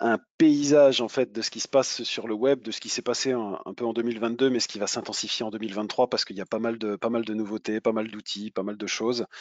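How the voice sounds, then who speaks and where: Very fast talking from a man at a medium pitch, his intonation fairly even. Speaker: web marketing speaker. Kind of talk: webinar presentation. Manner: halting, many repetitions.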